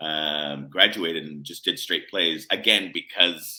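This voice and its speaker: A man with an American accent talks at a very deep, low pitch. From United States. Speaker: playwright and composer. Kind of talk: casual interview chat. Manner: halting, many fillers.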